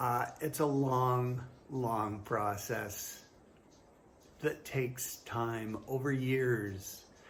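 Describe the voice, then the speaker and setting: There is audible room echo around a man's somewhat breathy voice, pitched in the middle of his range. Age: 60s. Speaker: fitness trainer. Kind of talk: casual talk to camera. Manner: hesitant, many fillers.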